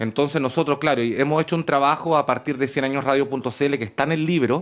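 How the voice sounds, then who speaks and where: A man at a very fast pace, very even in loudness, against a quiet background. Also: fairly high pitch for a man. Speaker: university academic and radio-drama producer. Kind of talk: radio interview answer. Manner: enthusiastic, talkative.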